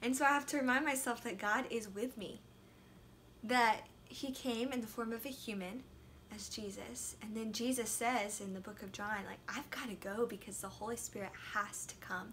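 Light background noise accompanies a woman's voice. She keeps a moderate pace and fairly even intonation. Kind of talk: devotional talk. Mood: gentle, reflective. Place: home room. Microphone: phone near.

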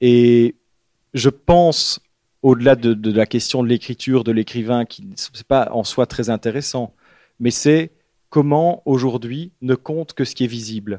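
A man with a dark, mellow tone speaks at medium pitch and a fairly slow pace, with ordinary pitch variation and long, frequent pauses. The recording is very clean with a silent background and a dry, close sound with no echo. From Belgium, Liège area. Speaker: writer. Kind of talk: bookshop author talk. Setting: bookshop event with audience. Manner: halting, many repetitions.

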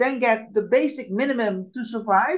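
A woman with a Dutch accent, high-pitched, ordinary pitch variation, quiet background. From Netherlands. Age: 60s. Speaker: unemployed jobseeker; interviewee. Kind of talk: interview. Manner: halting. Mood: calm, reflective. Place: home room. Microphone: video call.

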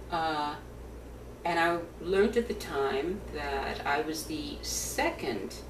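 Noticeable background noise fills the clip. Over it, a woman talks. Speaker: attorney and trade-controls consultant. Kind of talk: oral history interview answer. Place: home room. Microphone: webcam.

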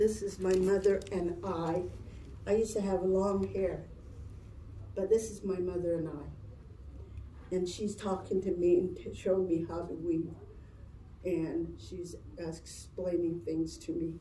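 A woman with an American accent speaks at a very slow pace. Audible room echo and light background noise surround her. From Navajo Nation, northern Arizona; Arizona. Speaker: cultural presenter; presenter. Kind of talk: presentation to children. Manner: halting. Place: classroom. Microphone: camera far.

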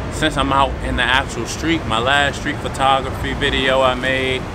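A man speaks at a moderate pace. Noticeable background noise runs underneath. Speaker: photographer vlogger. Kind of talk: casual vlog chat. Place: street. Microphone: phone near.

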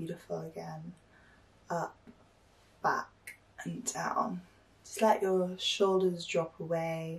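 A woman speaks at a very slow pace, leaving long, frequent pauses. Her tone is calm and soothing, while her loudness swings widely. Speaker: meditation guide. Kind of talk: guided meditation. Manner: calm, soothing, slow. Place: home room.

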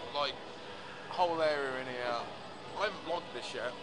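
Loud background noise runs throughout. A man's pitch varies in an ordinary way. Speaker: vlogger. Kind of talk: casual vlog chat. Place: hall. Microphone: phone near.

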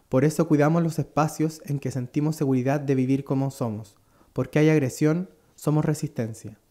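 In a very clean recording with a silent background, a man with an ordinary speaking voice talks at a moderate pace with fairly high pitch and fairly even intonation. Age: 30s. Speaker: singer and tattoo artist. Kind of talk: scripted performance monologue.

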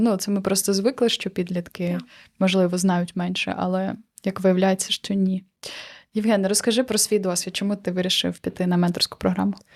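In a very clean recording with a silent background, a woman of medium pitch speaks at a moderate pace in a monotone, flat way. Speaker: podcast host. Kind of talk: casual chat.

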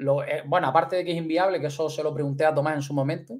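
An animated man's voice against a quiet background. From Canary Islands. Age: 30s. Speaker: fishing youtuber. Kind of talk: livestream chat. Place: home room. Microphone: studio mic.

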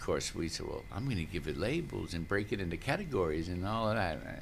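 Light background noise sits under a man with an American accent whose very deep, low voice moves at a moderate pace. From New Orleans, US South. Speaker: sound healer and poet. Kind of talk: guided meditation. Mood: relaxed, enthusiastic. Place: studio. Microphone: studio mic.

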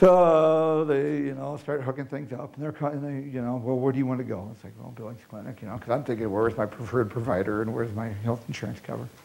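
A man speaks at a very fast pace with hardly any pauses. His pitch is medium, with ordinary variation. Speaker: heart attack survivor. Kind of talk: personal testimony. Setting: stage with audience. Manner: humorous, self-deprecating. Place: hall. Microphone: lapel.

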